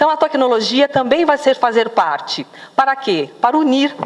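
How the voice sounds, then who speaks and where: A woman's lively intonation rises over noticeable background noise. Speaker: project coordinator presenting a social project. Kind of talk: launch event presentation.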